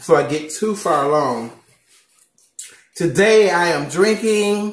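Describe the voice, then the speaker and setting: A man with an American accent speaks in a high voice with lively intonation. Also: fairly slow pace. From Southern United States. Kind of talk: casual mukbang talk to camera. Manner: upbeat, chatty.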